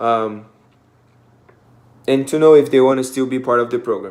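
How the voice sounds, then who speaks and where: The voice belongs to a man. He speaks with a non-native accent. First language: not English. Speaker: student volunteer. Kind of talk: class presentation. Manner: hesitant, many fillers.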